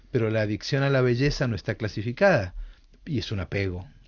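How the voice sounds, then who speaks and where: Somewhat breathy, a man talks at a fairly quick pace in a medium pitch with ordinary pitch variation. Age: 60s. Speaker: author and psychologist. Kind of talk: radio interview.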